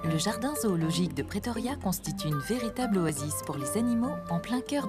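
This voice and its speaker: Over music in the background, a woman speaks at a fairly quick pace with very wide pitch swings, very even loudness and hardly any pauses. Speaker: voice-over actress, documentary narrator. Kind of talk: wildlife documentary narration.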